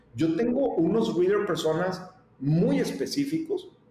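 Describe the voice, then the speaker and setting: Speaking with a Mexican accent, a man uses a high pitch, an animated tone and very wide pitch swings. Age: 40s. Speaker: media company founder. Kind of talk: interview.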